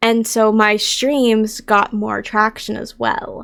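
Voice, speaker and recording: A woman talks with a fairly high pitch. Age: 20s. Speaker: content creator and streamer. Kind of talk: casual Q&A vlog. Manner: chatty.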